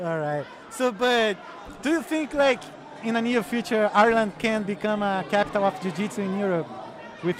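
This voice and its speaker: A man's high voice with a Portuguese accent, with long, frequent pauses, over noticeable background noise. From Brazil, Rio de Janeiro. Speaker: podcast host. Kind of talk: casual interview.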